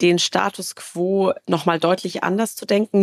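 A woman of medium pitch is heard with a dry, close sound and no echo. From Baden-Württemberg, Karlsruhe area. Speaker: tech entrepreneur. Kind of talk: interview. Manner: filler-heavy, repetitive.

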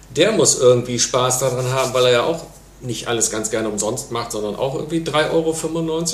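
With noticeable background noise and audible room echo, a man of medium pitch speaks at a moderate pace with ordinary pitch variation. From Lower Rhine, Mönchengladbach. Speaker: entrepreneur. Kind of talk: casual interview.

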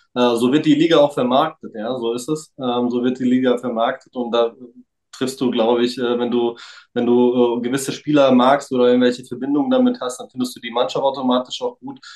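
This man talks at a fairly quick pace. His medium-pitched voice stays monotone and flat. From Frankfurt area, Germany. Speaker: trading card collector. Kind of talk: casual chat.

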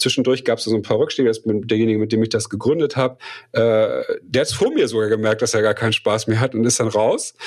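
A man talks at a very fast pace. His loudness stays very even throughout. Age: 40s. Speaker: coach and entrepreneur. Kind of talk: interview conversation.

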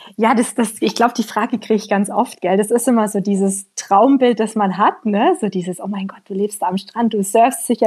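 This woman has a normal speaking voice, moving at a moderate pace with ordinary pitch variation. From Allgäu, southern Germany. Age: 20s. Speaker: emigrant, trainee primary school teacher. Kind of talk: interview.

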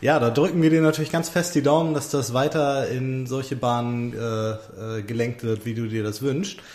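Medium pitch from a man at a moderate pace, hardly any pauses, ordinary pitch variation, and audible room echo. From Hamburg. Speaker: podcast co-host. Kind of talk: interview. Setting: staff break room at the school.

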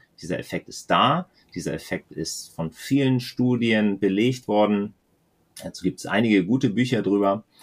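Speaking at a moderate pace with a normal speaking voice, a man uses a fairly low pitch with ordinary pitch variation and big swings in loudness. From northern Germany, near the Danish border. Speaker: podcast co-host, aero fitting specialist. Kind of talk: casual podcast chat.

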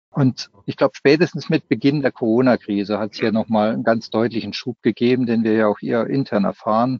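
Hardly any pauses interrupt a man who talks at a fairly quick pace with a medium pitch and ordinary pitch variation. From Baden, southwest Germany. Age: 50s. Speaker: software company executive. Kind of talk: podcast interview.

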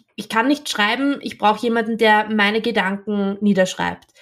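A woman with an Austrian accent, fairly high pitch, monotone, flat intonation and a moderate pace. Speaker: copywriter. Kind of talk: interview conversation. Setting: video call.

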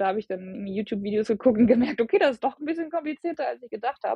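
This woman's voice is somewhat breathy. She speaks at a very fast pace. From Germany, Bielefeld. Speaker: long-distance hiker. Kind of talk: interview.

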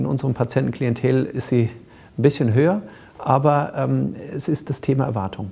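Long, frequent pauses break up a man's moderate pace, his medium pitch showing ordinary variation. His tone is dark and mellow, edged with vocal fry. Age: 40s. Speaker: cosmetic surgeon. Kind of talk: interview. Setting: studio.

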